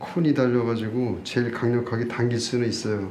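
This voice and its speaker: Fairly even in intonation and moderate in pace, the voice comes with noticeable background noise and audible room echo. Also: man. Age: 60s. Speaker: doctor. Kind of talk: live demonstration lecture. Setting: live seminar. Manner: casual.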